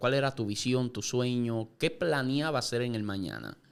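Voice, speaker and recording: A man with a normal speaking voice at a medium pitch. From Puerto Rico, Yauco. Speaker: podcast host. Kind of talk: interview. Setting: studio.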